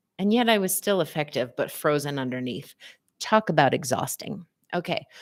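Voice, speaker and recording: Animated in tone, a woman with a fairly low pitch makes very wide pitch swings at a moderate pace on a very clean recording with a silent background. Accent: American. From US West Coast, San Francisco area. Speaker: physical therapist and psychotherapist. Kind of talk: live stream talk with chat. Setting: livestream.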